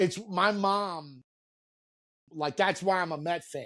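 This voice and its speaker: In a New York accent, a man speaks very slowly with ordinary pitch variation. The recording is very clean, with a silent background. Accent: New York, stands out elsewhere. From New York, Queens. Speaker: reality TV personality. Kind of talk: casual podcast interview.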